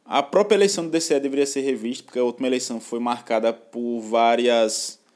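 Using a plain, everyday voice, a man speaks at a medium pitch and moderate pace with ordinary pitch variation. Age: 20s. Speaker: podcast co-host, university student. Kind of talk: casual news discussion.

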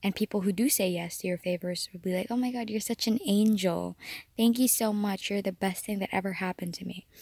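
A woman's medium-pitched, somewhat breathy voice at a fairly quick pace, with fairly even intonation and a dry, close sound free of echo. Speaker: podcast host. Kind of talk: casual solo podcast monologue. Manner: chatty with frequent fillers and laughs.

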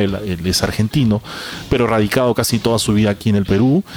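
A man with a medium-pitched voice talks against noticeable background noise. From Peru. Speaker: podcast host. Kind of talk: casual chat.

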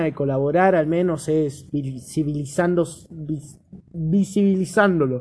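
This man talks at a fairly slow pace. The rise and fall of his pitch is ordinary. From Argentina, Chubut. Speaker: podcast host. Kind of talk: casual chat.

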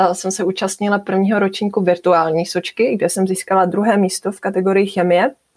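A woman speaks at a medium pitch. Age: 20s. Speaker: young scientist. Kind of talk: interview. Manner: halting.

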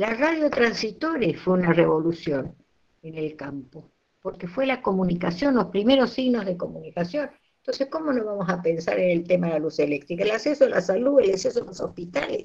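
A woman's somewhat breathy voice shows very wide pitch swings and big swings in loudness. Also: medium pitch for a woman, fairly quick pace. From Argentina, Santiago del Estero. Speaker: nutritionist and university lecturer. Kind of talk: interview talk, lecture-like. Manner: animated.

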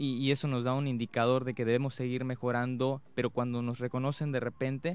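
Speech at a moderate pace, very clean, against a silent background. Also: man. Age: 20s. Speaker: youth award winner, performing artist. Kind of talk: radio interview. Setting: radio studio. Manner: hesitant, many fillers.

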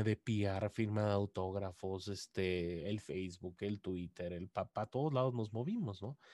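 On a very clean recording with a silent background, a man speaks fairly slowly in a fairly low pitch with a dark, mellow tone. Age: 30s. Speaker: video game journalist. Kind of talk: casual chat.

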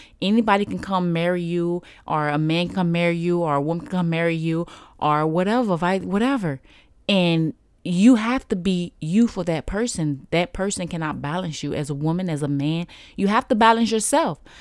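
In a very clean recording with a silent background, a woman speaks at a moderate pace with a fairly low pitch and ordinary pitch variation. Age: 30s. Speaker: podcast host. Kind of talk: casual monologue.

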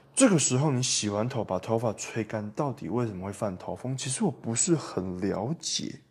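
The voice is somewhat breathy, with lively intonation and a moderate pace with hardly any pauses. The recording is very clean, with a silent background. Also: man, medium pitch for a man. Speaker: podcast host. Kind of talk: solo podcast monologue. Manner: animated.

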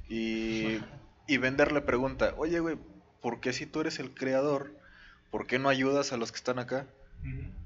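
With a Mexican accent, a man speaks at a medium pitch and fairly slow pace, using fairly even intonation and long, frequent pauses. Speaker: podcast co-host. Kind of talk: casual chat.

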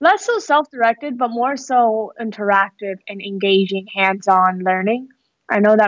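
In an American accent, a woman with a fairly high pitch speaks at a moderate pace, the sound dry and close with no echo. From US West Coast (San Francisco Bay Area, Fremont). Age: 20s. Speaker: entrepreneur. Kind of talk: casual interview.

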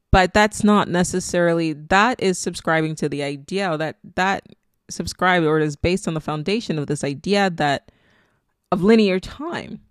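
A Nigerian accent at a moderate pace. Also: woman, fairly low pitch for a woman, ordinary pitch variation. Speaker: spirituality podcaster. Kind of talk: solo monologue. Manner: casual, laughs often.

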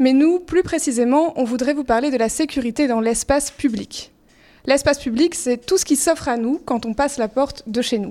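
Speaking at a moderate pace, a woman uses a high voice with a dark, mellow tone and ordinary pitch variation. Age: 20s. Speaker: youth show co-presenter. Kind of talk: scripted narration.

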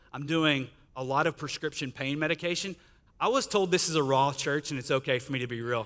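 A man with a Texan accent, a bright, sharp tone and ordinary pitch variation. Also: very clean recording, silent background. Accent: Texan (US Southern) English. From Northeast Texas, Sulphur Springs. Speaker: guest speaker. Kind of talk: testimony.

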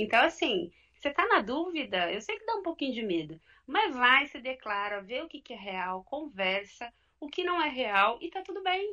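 At a moderate pace, a woman projects a raised, high-pitched voice with a bright, sharp tone, very wide pitch swings and big swings in loudness. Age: 30s. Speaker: coach. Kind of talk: live podcast discussion. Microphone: connection freezing.

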